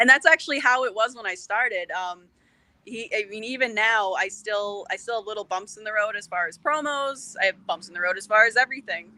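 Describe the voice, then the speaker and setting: A woman speaks with a bright, sharp tone and ordinary pitch variation. Her pace is fairly quick, and her loudness swings widely. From Boston area, US. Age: 30s. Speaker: professional wrestler. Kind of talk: podcast interview.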